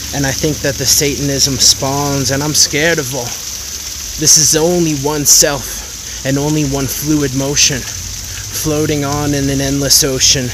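Over noticeable background noise, a man talks at a fairly slow pace, the sound dry with no echo. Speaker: spoken word poet. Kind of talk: improvised spoken word poetry. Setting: outdoors. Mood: reflective, inspirational. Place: waterside. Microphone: phone near.

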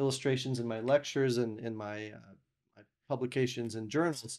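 A man talks at a fairly quick pace with fairly even intonation. Behind him the background is quiet. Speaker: podcast guest. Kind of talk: interview answer. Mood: warm, relaxed, some laughter. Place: studio. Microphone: studio mic.

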